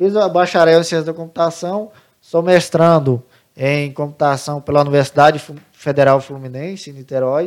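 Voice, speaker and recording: Recorded very cleanly against a silent background, a man with a normal speaking voice talks at a moderate pace in a fairly high pitch with fairly even intonation. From Santa Catarina, Brazil; grew up from age 10 in Pará. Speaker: computing teacher. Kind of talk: interview.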